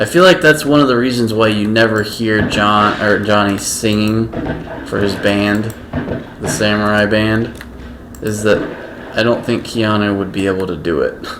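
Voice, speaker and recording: Amid noticeable background noise and audible room echo, a man with a fairly low pitch speaks at a moderate pace with long, frequent pauses. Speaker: gaming streamer. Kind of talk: gameplay commentary. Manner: monotone; casual, halting.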